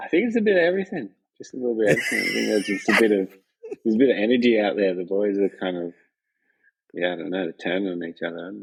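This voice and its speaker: Very fast speech from a man in an Australian accent. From Western Australia. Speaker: professional free surfer. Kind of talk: podcast interview answer. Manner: casual, laid-back.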